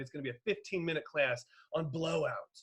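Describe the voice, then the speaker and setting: Speaking at a fairly quick pace, the man sounds somewhat breathy, and his pitch varies in an ordinary way. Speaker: enrollment and sales consultant. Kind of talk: webinar presentation. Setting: online webinar. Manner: fast; animated.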